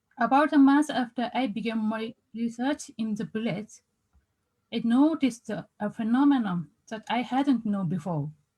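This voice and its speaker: Fairly high in pitch, a woman speaks at a moderate pace with a Japanese accent. Her voice has a dark, mellow tone. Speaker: researcher. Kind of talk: conference presentation. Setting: video call. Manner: halting.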